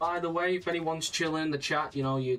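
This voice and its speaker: A man with a British accent and fairly high pitch talks fairly fast over music in the background. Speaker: gaming streamer. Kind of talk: casual live-stream chat.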